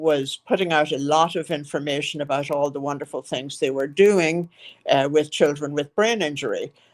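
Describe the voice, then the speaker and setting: A woman speaks with an Irish accent in a very deep, low pitch. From Ireland, County Monaghan. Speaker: nonprofit founder, former physical therapist. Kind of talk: interview. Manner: halting.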